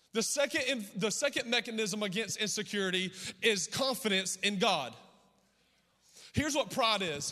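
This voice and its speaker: In a raised, projected voice, a man speaks at a high pitch with lively intonation and an animated tone. His pace is moderate with long, frequent pauses, on a very clean recording with a silent background. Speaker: pastor. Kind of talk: sermon.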